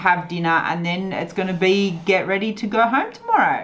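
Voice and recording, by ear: At a moderate pace, a woman speaks with medium pitch, a fairly bright tone and big pitch swings.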